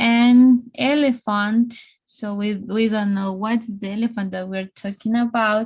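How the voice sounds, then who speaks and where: Speaking at a very slow pace, a woman with a Spanish accent has a fairly high pitch, fairly even intonation and a somewhat breathy sound. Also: quiet background. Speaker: English teacher. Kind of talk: online English lesson. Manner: slow, repetitive.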